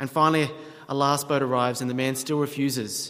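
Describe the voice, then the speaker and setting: A man with an Australian accent, fairly high-pitched, at a fairly quick pace with fairly even intonation, amid noticeable background noise and audible room echo. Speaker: pastor. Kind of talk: sermon.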